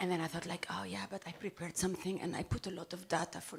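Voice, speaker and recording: The speech runs at a very fast pace in a monotone, flat intonation over noticeable background noise. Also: woman. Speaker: conference speaker. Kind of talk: conference talk.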